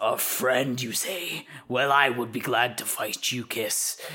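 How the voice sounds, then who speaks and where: A growling, menacing put-on character voice at a low-to-middle pitch and a fairly slow pace, over light background noise. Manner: gruff, menacing.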